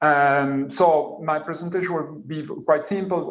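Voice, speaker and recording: Over noticeable background noise, a man talks at a fairly slow pace, his fairly high pitch held in fairly even intonation. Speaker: energy company presenter. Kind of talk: webinar presentation. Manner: hesitant.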